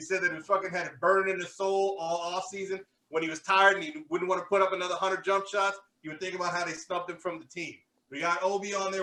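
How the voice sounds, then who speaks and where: A man in a Brooklyn accent talks very fast in a raised, projected voice pitched high for a man. His tone is bright and sharp. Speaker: sports podcast host.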